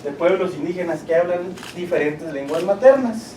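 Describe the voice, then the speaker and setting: High-pitched male speech with a Chihuahua accent and lively intonation at a moderate pace, with audible room echo and noticeable background noise. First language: Rarámuri (speaking Spanish). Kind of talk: presentation.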